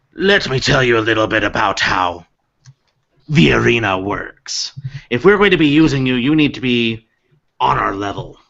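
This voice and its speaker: Using a put-on character voice, a man speaks at a medium pitch and a moderate pace. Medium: actual play. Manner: businesslike.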